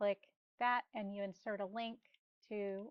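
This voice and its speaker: A woman talks at a moderate pace in a plain, everyday voice with ordinary pitch variation. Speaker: real estate marketing instructor. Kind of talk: tutorial.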